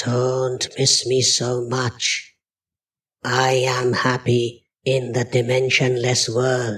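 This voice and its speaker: A man's put-on character voice, medium in pitch and very slow in pace. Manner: eerie.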